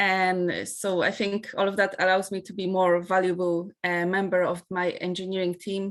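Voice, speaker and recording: A woman speaks with a non-native accent. Her pace is moderate. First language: not English. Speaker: part-time student and engineer. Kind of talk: interview testimony. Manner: halting, many fillers.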